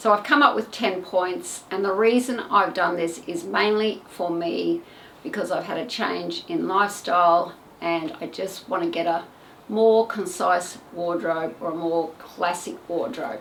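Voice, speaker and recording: A woman talks at a fairly slow pace with ordinary pitch variation. She has a plain, everyday voice. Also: medium pitch for a woman. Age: 60s. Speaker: retired fashion stylist, video creator. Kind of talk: casual vlog tutorial. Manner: chatty, informal with filler words.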